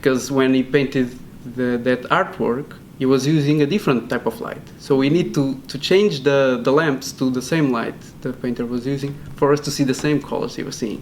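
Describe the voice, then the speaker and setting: A man with a Portuguese accent keeps a moderate pace and fairly even intonation. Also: medium pitch for a man. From Portugal. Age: 20s. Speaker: PhD student. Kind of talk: interview. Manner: hesitant, many fillers and repeats.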